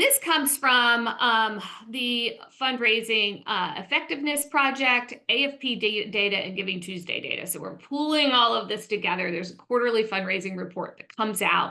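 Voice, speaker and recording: Bright and sharp in tone, a woman with a fairly high pitch speaks at a moderate pace with lively intonation. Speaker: fundraising executive and coach. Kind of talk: webinar presentation. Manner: animated.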